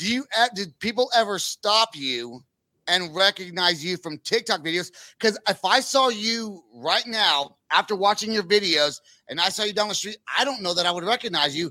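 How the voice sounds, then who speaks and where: A man with an American accent projects a raised, high, bright and sharp voice with lively intonation at a moderate pace, on a very clean recording with a silent background. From Northern California. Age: 40s. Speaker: podcast host. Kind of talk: casual chat.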